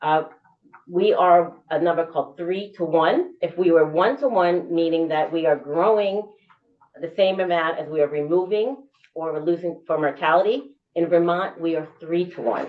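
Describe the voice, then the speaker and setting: Fairly low pitch from a woman, with ordinary variation in pitch. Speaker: state government official testifying. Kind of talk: committee testimony. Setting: legislative committee room. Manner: fast.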